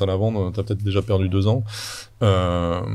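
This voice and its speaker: Low for a man, the voice has a dark, mellow tone and flat, monotone intonation. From France. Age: 40s. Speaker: startup founder and CEO. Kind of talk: podcast interview. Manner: hesitant, many fillers.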